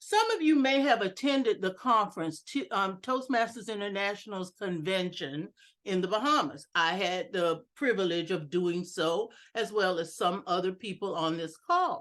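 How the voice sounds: Her tone fairly bright, a woman speaks with ordinary pitch variation. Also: medium pitch for a woman, moderate pace.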